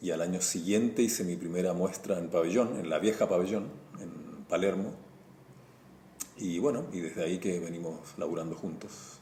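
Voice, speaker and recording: With a Chilean accent, a man talks at a moderate pace in a very deep, low pitch with a dark, mellow tone and ordinary pitch variation, and audible room echo surrounds him. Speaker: visual artist and comic illustrator. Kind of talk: interview.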